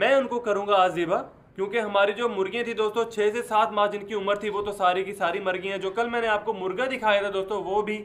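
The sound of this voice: A man's high-pitched voice at a fast pace, with a fairly bright tone and fairly even intonation.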